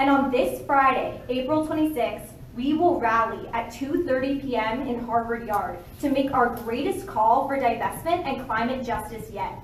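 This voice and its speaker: A woman with a high voice speaks at a moderate pace with ordinary pitch variation, and audible room echo surrounds her. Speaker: student activist. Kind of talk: prepared speech at press conference. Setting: press conference. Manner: formal.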